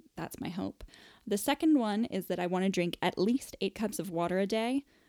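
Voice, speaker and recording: A woman with an American accent speaks in an ordinary speaking voice at a moderate pace. Her pitch varies in an ordinary way, and the sound is dry and close with no echo. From US. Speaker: podcast host. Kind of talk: casual chat. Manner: chatty, laughing.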